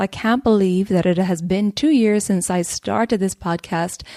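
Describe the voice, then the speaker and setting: A woman with a strong Irish accent speaks fairly slowly in a dark, mellow tone with ordinary pitch variation. The recording is very clean and silent in the background, dry and close with no echo. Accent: Irish, a little stronger than usual. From Ireland, rural. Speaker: podcast host, Ayurveda practitioner. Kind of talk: podcast monologue. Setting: home recording.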